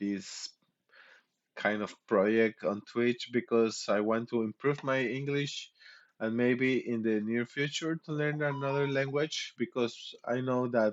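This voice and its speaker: A man at a medium pitch talks at a very slow pace with ordinary pitch variation. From Mexico. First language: Spanish. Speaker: streamer. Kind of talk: casual chat. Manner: halting.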